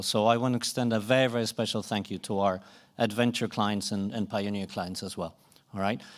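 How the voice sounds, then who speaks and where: A man with a Swedish accent speaks fairly quickly at a medium pitch with ordinary pitch variation, on a very clean recording with a silent background. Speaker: conference moderator. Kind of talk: closing remarks at a conference.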